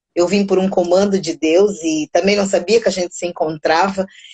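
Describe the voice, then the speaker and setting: A woman with a Brazilian accent talks at a moderate pace, her medium-pitched voice dark and mellow. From Mozambique, raised largely in Brazil. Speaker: psychologist and music teacher. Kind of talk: casual interview. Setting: online live stream.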